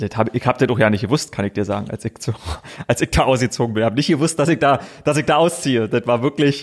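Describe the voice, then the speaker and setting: With a strong Berlin-Brandenburg accent, a man talks at a very fast pace broken by long, frequent pauses, with ordinary pitch variation and a dry, close sound with no echo. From Brandenburg, Königs Wusterhausen near Berlin. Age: 30s. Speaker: sports TV presenter. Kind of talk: casual interview chat.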